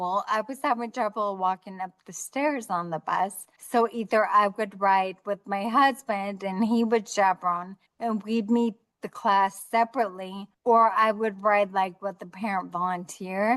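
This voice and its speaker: A woman with a medium-pitched voice speaks at a fairly slow pace, her intonation fairly even and hardly any pauses between words. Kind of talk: interview conversation. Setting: video call. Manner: clear speech.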